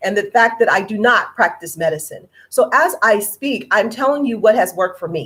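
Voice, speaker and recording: A woman with a fairly high pitch speaks with very wide pitch swings. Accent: American. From California. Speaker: health product seller. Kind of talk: informational presentation. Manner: deliberately slow; careful, proper enunciation.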